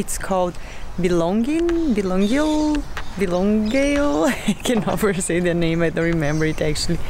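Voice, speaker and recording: A woman speaks in a dry space with no echo. Noticeable background noise runs under her voice. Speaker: travel vlogger. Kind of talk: casual vlog chat. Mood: cheerful, relaxed. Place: open country. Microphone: phone near.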